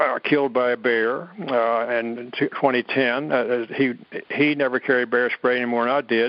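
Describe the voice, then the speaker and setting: A man's monotone, flat delivery at a medium pitch and a moderate pace. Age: 80s+. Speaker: ecologist and grizzly bear expert. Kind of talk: interview. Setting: podcast. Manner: halting, many fillers and repetitions.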